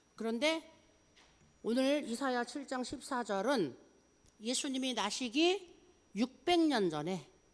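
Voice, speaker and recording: High-pitched, this woman swings through a very wide pitch range. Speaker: pastor at senior day care. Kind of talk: sermon. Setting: day care worship service. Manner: slightly slurred pronunciation.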